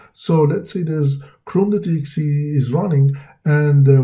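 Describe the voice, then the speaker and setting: A man speaks in a dark, mellow, somewhat breathy tone at a moderate pace, with ordinary pitch variation. Audible room echo surrounds the voice. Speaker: cybersecurity instructor. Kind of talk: lecture. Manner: halting, many fillers.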